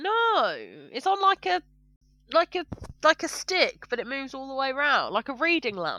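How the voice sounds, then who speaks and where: At a moderate pace, a woman uses a high, bright and sharp voice, raised and projected, with very wide pitch swings and long, frequent pauses, in a dry, close sound with no echo. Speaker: podcast co-host. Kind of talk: casual comedic chat. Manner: animated, laughing.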